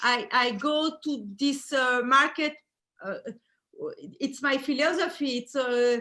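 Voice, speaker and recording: In a French accent, a woman with a high pitch and a bright, sharp tone projects her raised voice at a very slow pace, with ordinary pitch variation and long, frequent pauses. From Belgium. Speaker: fur designer. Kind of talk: interview. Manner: halting.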